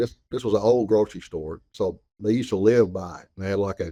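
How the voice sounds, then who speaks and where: The voice, in a Southern US accent, has a dark, mellow tone and fairly even intonation at a fairly quick pace. The recording is very clean, with a silent background. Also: man. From Arkansas. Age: 60s. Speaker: store owner. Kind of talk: interview.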